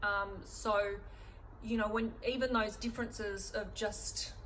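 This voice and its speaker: In an Australian accent, a woman speaks very slowly in a flat monotone, with audible echo from the room. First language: German. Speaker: artist and vlogger. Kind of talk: casual vlog talk. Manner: halting, many fillers.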